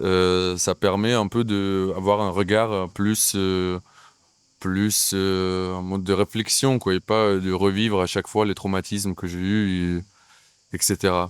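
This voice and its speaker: In a very deep, low pitch, a man talks at a very slow pace with monotone, flat intonation. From Ukraine. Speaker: actor and playwright. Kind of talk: interview. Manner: hesitant, many fillers.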